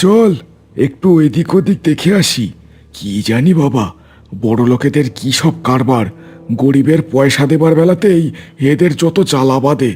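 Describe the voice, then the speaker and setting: A man performs a cartoonish character voice. His intonation is lively. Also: fairly high pitch for a man, moderate pace. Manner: sneering, coarse.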